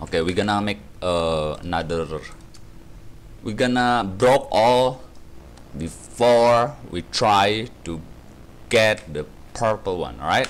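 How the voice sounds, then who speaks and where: Speaking at a very slow pace with long, frequent pauses, a man uses lively intonation in a fairly low voice. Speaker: gaming YouTuber. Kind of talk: gameplay commentary. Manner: animated; rambling, filler-heavy. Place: home room.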